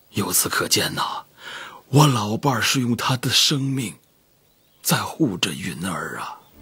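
A man's intonation stays lively even as he talks at a very slow pace. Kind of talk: dramatic dialogue. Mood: grave, emotional recounting. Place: home room.

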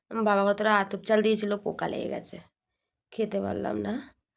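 The recording is very clean with a silent background. A woman talks at a medium pitch. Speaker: lifestyle vlogger. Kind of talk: casual vlog narration.

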